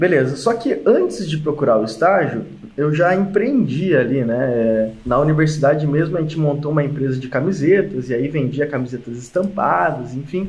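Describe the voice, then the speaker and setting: There is audible room echo around a man's voice. He speaks at a moderate pace with fairly high pitch and lively intonation. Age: 20s. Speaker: mechanical engineer and e-commerce entrepreneur. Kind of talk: interview.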